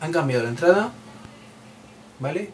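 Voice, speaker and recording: Noticeable background noise accompanies a man whose fairly high voice has lively intonation. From Spain, Madrid. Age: 30s. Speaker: tech podcaster. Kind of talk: solo podcast monologue. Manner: hesitant, many repeated words; casual, chatty.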